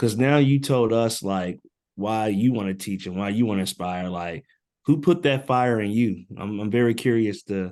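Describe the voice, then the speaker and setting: Against a quiet background, a man with a Southern US accent speaks at a moderate pace in a fairly low pitch with ordinary pitch variation. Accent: Southern twang. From US South, Birmingham, Alabama. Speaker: education program facilitator. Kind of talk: online info session, group discussion. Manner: casual, hesitant with many fillers.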